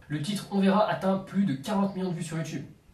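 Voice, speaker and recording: This man's voice sits high in pitch, with noticeable background noise behind it. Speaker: YouTube narrator of music artist history. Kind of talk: casual narrated presentation. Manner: occasional stuttering.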